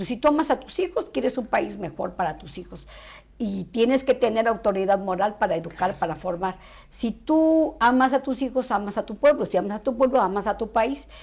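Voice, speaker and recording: The woman's intonation is lively. She keeps up a fairly quick pace. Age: 60s. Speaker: social activist. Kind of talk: interview.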